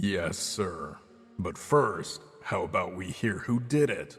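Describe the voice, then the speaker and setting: Faint music plays behind a man doing a put-on character voice at a medium pitch, with lively intonation and a fairly slow pace. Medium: video game. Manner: gruff, curt.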